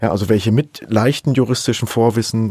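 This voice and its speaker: A man's medium-pitched voice, dark and mellow in tone, at a fairly quick pace with ordinary pitch variation, on a very clean recording with a silent background. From Saxony. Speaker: professor of digital forensics. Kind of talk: interview.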